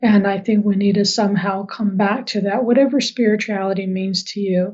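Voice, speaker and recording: At a moderate pace, a woman speaks with a dark, mellow, somewhat breathy tone at medium pitch and monotone, flat intonation. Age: 50s. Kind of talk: interview.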